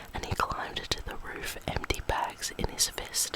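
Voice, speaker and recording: A woman whispers fairly slowly while noticeable noise fills the background. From Australia. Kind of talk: ASMR bedtime story reading. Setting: close microphone. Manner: whispered.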